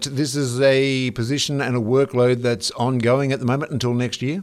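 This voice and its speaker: A man talks with an Australian accent. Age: older than guest. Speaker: radio host. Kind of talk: radio interview.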